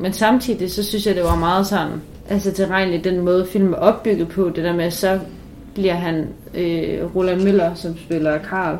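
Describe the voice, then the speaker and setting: A woman speaks at a moderate pace with a monotone, flat intonation. Audible room echo and noticeable background noise are present. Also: medium pitch for a woman. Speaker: student podcast co-host. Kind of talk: casual chat.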